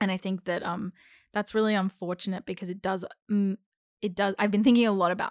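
On a very clean recording with a silent background, a woman with an Australian accent speaks in a medium pitch with fairly even intonation. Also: dry, close sound with no echo. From Australia (Melbourne). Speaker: actor and theatre co-director. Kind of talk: casual chat.

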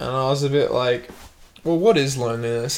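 A man's fairly high-pitched, plain, everyday voice at a fairly quick pace. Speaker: podcast host. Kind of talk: casual banter podcast chat.

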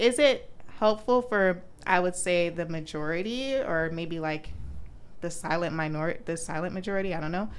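A woman with an American accent speaks at a moderate pace in a fairly low pitch, with ordinary pitch variation and audible room echo. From Florida, Orlando. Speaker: medical student. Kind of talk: casual chat.

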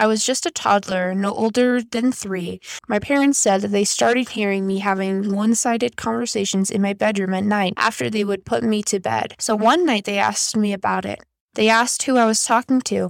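Here is a plain, everyday voice. A woman speaks at a medium pitch and a fairly quick pace. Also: ordinary pitch variation. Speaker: podcast host. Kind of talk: ghost story reading aloud, spooky bedtime-style storytelling of Reddit tales. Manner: casual and friendly in intro and outro.

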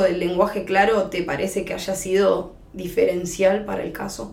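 The woman talks fairly slowly. Her voice echoes audibly in the room. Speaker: podcast host and lawyer. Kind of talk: interview.

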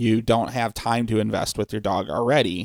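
A man with a normal speaking voice and medium pitch talks at a moderate pace with an American accent, the very clean recording silent in the background and dry and close with no echo. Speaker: dog trainer. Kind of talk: casual chat. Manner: casual, joking.

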